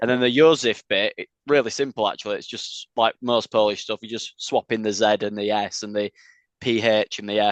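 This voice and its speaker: Fairly even in intonation, a man with a Yorkshire accent speaks quite quickly at a medium pitch in a dry, close sound with no echo. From Leeds, northern England. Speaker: metal band vocalist. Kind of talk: interview. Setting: video call.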